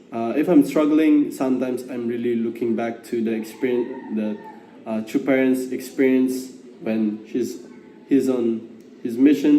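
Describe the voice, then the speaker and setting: A man at medium pitch, fairly slow and fairly even in intonation, over noticeable background noise. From Philippines. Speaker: gap year program participant. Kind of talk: testimony. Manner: halting.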